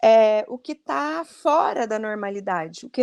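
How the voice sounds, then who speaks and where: With very wide pitch swings, a woman speaks fairly slowly at a fairly high pitch. The sound is dry and close with no echo. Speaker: speech therapist. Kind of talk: educational interview.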